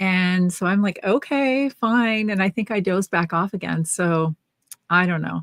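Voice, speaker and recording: A woman uses a normal speaking voice at medium pitch with ordinary pitch variation. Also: moderate pace, dry, close sound with no echo. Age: 60s. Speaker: knitting podcast co-host. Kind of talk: casual chat. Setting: livestream video chat.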